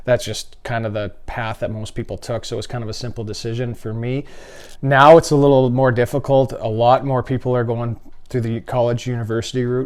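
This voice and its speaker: Speaking at a fairly quick pace with a Canadian accent, a man has a plain, everyday voice at medium pitch with fairly even intonation, on a very clean recording with a silent background. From Saskatchewan, Canada. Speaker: retired professional hockey player. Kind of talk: interview.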